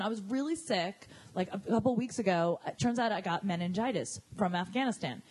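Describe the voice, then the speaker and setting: A woman talks with an American accent amid noticeable background noise. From New Jersey. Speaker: comedian. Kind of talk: casual chat. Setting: studio.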